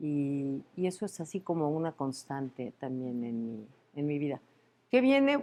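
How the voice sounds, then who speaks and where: A woman talks at a fairly slow pace in a very deep, low voice with a dark, mellow tone. Her pitch varies in an ordinary way, and the background is quiet. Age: 60s. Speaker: university rector. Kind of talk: interview. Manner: halting, many fillers.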